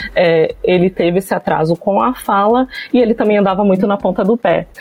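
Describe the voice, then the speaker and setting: A woman's voice with ordinary pitch variation over noticeable background noise. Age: 30s. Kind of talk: casual chat.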